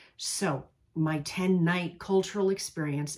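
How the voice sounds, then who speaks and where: A somewhat breathy woman with an American accent talks at a fairly slow pace. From US Northeast, New York. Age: 60s. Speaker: travel coach. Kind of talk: casual talk to camera; sales pitch. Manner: casual.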